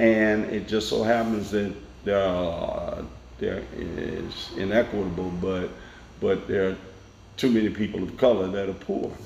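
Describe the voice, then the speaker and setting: A speaker in a Tennessee accent talks at a fairly slow pace with fairly even intonation. Noticeable background noise and audible room echo fill the recording. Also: man, fairly low pitch for a man. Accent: Southern American (Tennessee). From US South, Nashville, Tennessee. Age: 60s. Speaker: elected court official. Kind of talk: interview.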